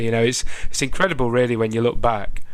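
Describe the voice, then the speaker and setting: Amid noticeable background noise, a man speaks at a very fast pace in a monotone, flat intonation. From UK. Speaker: podcast co-host and guitarist. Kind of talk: casual chat. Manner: jokey, humorous.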